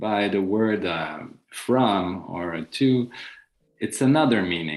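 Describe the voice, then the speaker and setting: A man with a French accent talks at a very slow pace. His pitch swings very widely. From France. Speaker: panel discussant. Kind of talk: panel discussion. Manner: halting.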